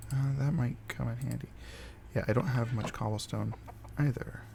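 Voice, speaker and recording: This is a man speaking. He is soft-spoken. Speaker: gaming video creator. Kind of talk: casual gameplay commentary. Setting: home recording with OBS. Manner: halting, many fillers. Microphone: voice quiet relative to game audio.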